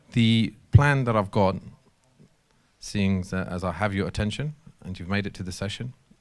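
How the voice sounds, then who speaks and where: A man with a London accent talks at a fairly low pitch with ordinary pitch variation and big swings in loudness. He leaves long, frequent pauses on a very clean recording with a silent background. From London, England. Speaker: technology company systems engineer presenter. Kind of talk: technical workshop presentation. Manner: fast; hesitant with fillers and repetitions.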